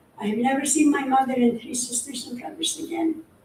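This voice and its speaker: A woman's high-pitched, lively voice at a fairly quick pace, with noticeable background noise. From Eastern Europe. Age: 90s. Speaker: Holocaust survivor. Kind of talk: testimony. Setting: school assembly. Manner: halting.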